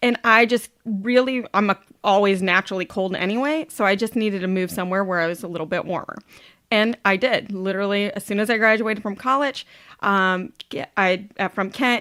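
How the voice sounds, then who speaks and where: A woman speaks loudly at a fairly quick pace with an American accent, her tone bright and sharp with ordinary pitch variation. The sound is dry and close with no echo, a very clean recording over a silent background. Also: medium pitch for a woman. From Ohio, US Midwest. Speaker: supplement company representative. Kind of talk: casual interview chat. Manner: upbeat.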